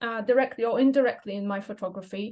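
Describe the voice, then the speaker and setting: A woman speaks in a Polish accent with ordinary pitch variation. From Poland. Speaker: language teacher and photographer. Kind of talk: presentation. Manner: hesitant, many fillers.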